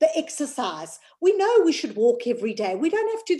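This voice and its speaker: On a very clean recording with a silent background, a woman speaks at a high pitch with very wide pitch swings. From South Africa. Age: 50s. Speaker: former coaching client. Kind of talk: podcast interview.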